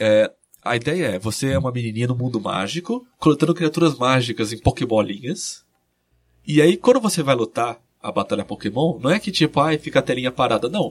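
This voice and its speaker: Moving at a fairly quick pace, a plain, everyday voice carries lively intonation. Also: man, medium pitch for a man. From interior of São Paulo state, Brazil. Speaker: video game researcher and author. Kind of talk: casual interview.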